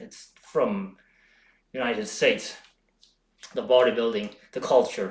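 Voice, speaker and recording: A man's voice has vocal fry. His pitch swings very widely. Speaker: home bodybuilding streamer. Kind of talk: live stream chat. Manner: halting, frequent self-corrections.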